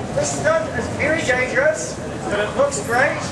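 Over loud background noise, a man talks at a moderate pace. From New Zealand, Wellington. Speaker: street performer. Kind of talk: street show patter to a crowd. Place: street. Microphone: camera far.

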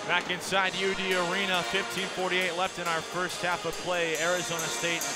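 Loud music plays behind a man talking at a fairly quick pace. The sound is dry with no echo. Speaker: radio basketball play-by-play announcer. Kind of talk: radio sports play-by-play commentary. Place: stadium.

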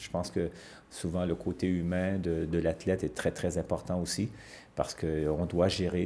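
Very deep and low, a man's voice carries a dark, mellow tone with vocal fry. He speaks at a moderate pace with ordinary pitch variation. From Quebec. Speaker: ice hockey coach. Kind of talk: TV sports interview. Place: studio.

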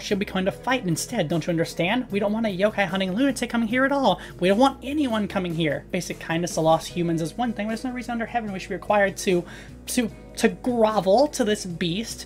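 In a put-on character voice with a growl, a female-sounding voice rattles along at a very fast pace and medium pitch as clear music plays in the background. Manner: snarling, angry.

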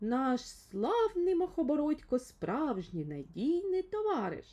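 A woman uses a put-on character voice, high-pitched with very wide pitch swings, at a fairly slow pace. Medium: read story. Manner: impulsive.

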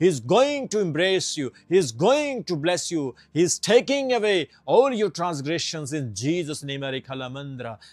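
The tone is animated, with very wide pitch swings and hardly any pauses at a fairly slow pace. The background is quiet and the sound is dry with no echo. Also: man, fairly high pitch for a man. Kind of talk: fervent prayer and sermon, declaring blessings. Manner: fervent, commanding, repetitive; animated, Hindi mixed with English words. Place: studio. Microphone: lapel.

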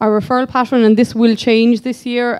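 A woman's dark, mellow tone in a Kerry accent, over a quiet background. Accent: Irish, Kerry. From Ireland, County Kerry; Ireland. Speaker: physiotherapist. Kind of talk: conference presentation. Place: hall. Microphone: podium.

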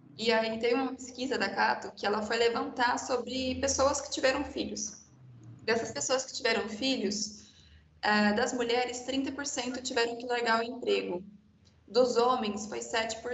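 Fairly even intonation comes through with audible room echo and light background noise. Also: woman, high pitch for a woman, fairly slow pace. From Brazil. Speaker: architect, panel moderator; panel moderator. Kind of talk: panel discussion. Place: home room. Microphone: video call.

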